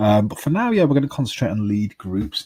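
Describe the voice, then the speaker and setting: Here a man's voice sounds somewhat breathy, with ordinary pitch variation. The sound is dry and close with no echo, on a very clean recording with a silent background. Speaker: tutorial creator. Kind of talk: tutorial.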